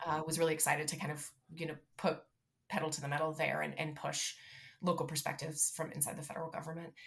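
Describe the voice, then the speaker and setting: A somewhat breathy woman's voice, very deep and low in pitch, flat and monotone, at a very fast pace. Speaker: city sustainability director. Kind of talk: interview.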